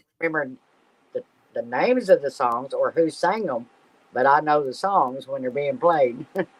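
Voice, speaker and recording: Pausing long and often, a man with a fairly high pitch speaks at a moderate pace with lively intonation. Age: 60s. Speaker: live stream co-host. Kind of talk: casual chat.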